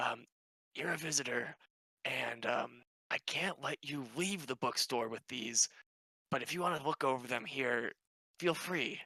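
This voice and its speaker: In a put-on character voice that is raspy and low-to-middle in pitch, the speaker moves at a moderate pace with long, frequent pauses. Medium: actual play. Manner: excitable, curious.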